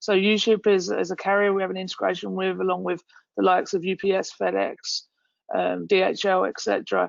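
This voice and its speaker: A woman speaks with an English accent. Her pace is fairly quick. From England. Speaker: company founder and CEO. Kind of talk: webinar panel talk.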